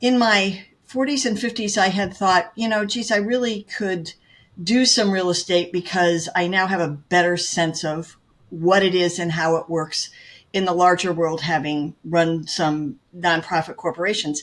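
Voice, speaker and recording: Recorded very cleanly against a silent background, a woman with an ordinary speaking voice talks at medium pitch and a fairly slow pace with ordinary pitch variation. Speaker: real estate agent. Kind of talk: interview.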